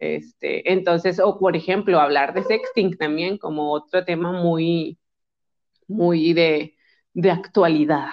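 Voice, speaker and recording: A woman speaks at a very slow pace. Her pitch is fairly low and her intonation fairly even. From Mexico, Monterrey. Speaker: psychologist and sexologist. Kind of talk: casual chat.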